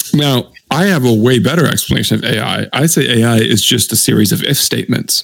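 Fairly quick, lively speech with hardly any pauses, very even loudness and vocal fry. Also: man, medium pitch for a man. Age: 20s. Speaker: podcast co-host. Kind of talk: casual chat. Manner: animated.

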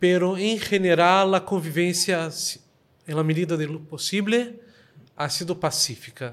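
The speech is broken by long, frequent pauses. Its pitch variation is ordinary. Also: man, high pitch for a man. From Brazil, Rio de Janeiro. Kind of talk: interview debate. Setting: synagogue.

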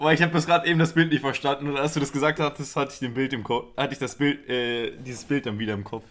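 In a normal speaking voice, a man with a fairly high pitch talks at a fairly quick pace with fairly even intonation and hardly any pauses. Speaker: football podcast host. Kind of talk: casual chat.

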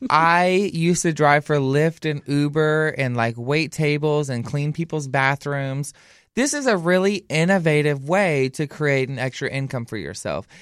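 On a very clean recording with a silent background, a man with a Southern US accent talks at a moderate pace in a fairly high pitch, his intonation lively. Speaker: podcast co-host. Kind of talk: casual chat. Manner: animated.

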